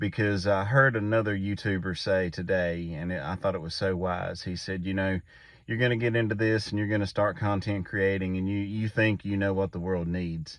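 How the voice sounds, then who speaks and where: Against a quiet background, a man speaks in a normal speaking voice at a fairly low pitch, with fairly even intonation and a moderate pace. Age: 40s. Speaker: YouTube creator, father. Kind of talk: casual talk to camera. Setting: inside a pickup truck at night.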